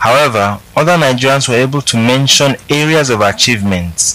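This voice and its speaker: Over noticeable background noise, a man speaks at a moderate pace in a medium pitch with ordinary pitch variation. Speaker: poll reporter. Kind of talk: news reading.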